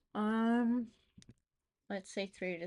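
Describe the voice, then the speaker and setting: In a Portuguese accent, a woman talks at a very slow pace with fairly even intonation. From Portugal. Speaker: freelancer streamer. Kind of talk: live stream, casual thinking aloud while working. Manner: loud.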